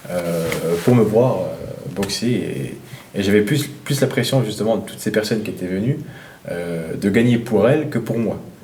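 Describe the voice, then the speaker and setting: A man with a medium-pitched voice talks at a fairly slow pace, with audible room echo and noticeable background noise. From eastern France. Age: 20s. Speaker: professional boxer. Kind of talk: interview. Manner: halting, many fillers and repetitions.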